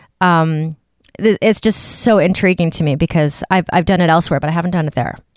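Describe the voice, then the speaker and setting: A woman with an American accent and a normal speaking voice, fairly low in pitch, at a fairly quick pace with fairly even intonation, in a dry, close sound with no echo. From Ohio, US Midwest. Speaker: podcast host, dancer. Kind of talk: casual interview.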